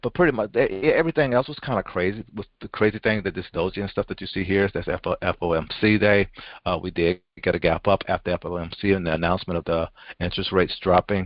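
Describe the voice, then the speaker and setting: This man talks at a very fast pace. His pitch is fairly low, with ordinary variation. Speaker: stock market analyst. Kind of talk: market review over charts. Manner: halting, many fillers and repetitions; casual, rambling.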